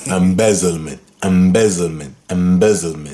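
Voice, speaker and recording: A man with a Congolese accent speaks at a fairly slow pace in a very deep, low pitch. His intonation is fairly even, and there is noticeable background noise. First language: Lingala. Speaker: guitar teacher. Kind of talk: tutorial.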